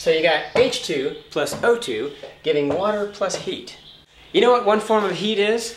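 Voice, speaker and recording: A man talks at a moderate pace in a high pitch with lively intonation. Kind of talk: comedic audition monologue to camera.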